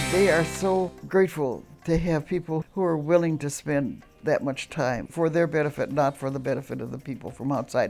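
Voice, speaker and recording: A woman talks at a moderate pace with a very deep, low pitch and ordinary pitch variation. Music plays in the background. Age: 80s+. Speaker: prison volunteer facilitator. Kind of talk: interview answer.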